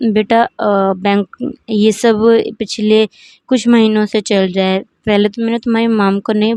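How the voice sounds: The surroundings are quiet. A natural reading voice is heard.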